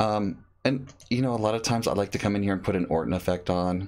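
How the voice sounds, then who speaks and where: A male speaker on a very clean recording, the background silent. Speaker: photography educator. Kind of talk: tutorial. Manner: casual, halting with fillers.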